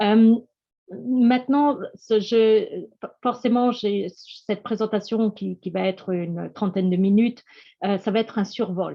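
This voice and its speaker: Long, frequent pauses mark this woman's very slow delivery. Her fairly high voice keeps a fairly even intonation. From France. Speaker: EU programme scientific project manager. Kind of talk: webinar presentation. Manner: halting.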